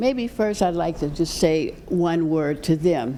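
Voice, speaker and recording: A woman with an American accent and a very deep, low voice speaks at a fairly slow pace amid audible room echo. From Pittsburgh, Pennsylvania. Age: 80s+. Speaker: retired mathematics professor and engineer, guest speaker. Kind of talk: talk to a church congregation.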